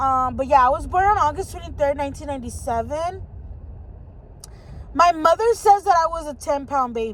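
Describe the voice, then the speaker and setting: A woman with an American accent talks at a fairly quick pace in a high pitch with lively intonation, leaving long, frequent pauses over noticeable background noise. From Southern California, San Fernando Valley. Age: 20s. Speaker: vlogger. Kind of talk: casual chat. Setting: in a car. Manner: hesitant with many fillers.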